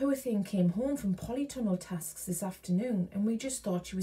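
Reading in an unforced voice

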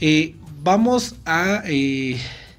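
Very slow pace with lively intonation. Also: man, fairly high pitch for a man.

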